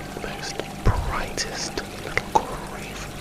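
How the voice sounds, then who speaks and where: A man whispering, with noticeable background noise. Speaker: ASMR creator. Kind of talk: improvised ASMR story. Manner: whispered, soft-spoken.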